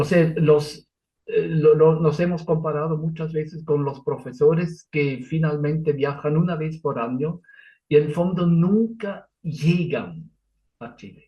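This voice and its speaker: Speaking fairly slowly with a non-native accent, a man uses a fairly high pitch and fairly even intonation, his loudness swinging widely. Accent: foreign accent in Spanish, noticeable. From Switzerland. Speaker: Lutheran pastor. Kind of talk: interview. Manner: halting, with fillers and self-corrections.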